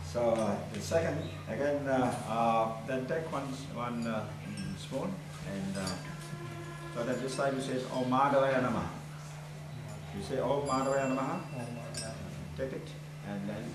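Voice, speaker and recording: A man at a moderate pace with ordinary pitch variation and long, frequent pauses, music in the background and audible room echo. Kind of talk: ritual instruction. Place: hall. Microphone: camera far.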